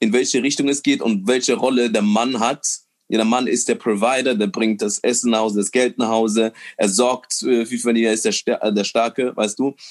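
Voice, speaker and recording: The sound is dry and close, with no echo. It is a plain, everyday voice with fairly even intonation. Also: man. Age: 20s. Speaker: comedian and nurse. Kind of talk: casual chat.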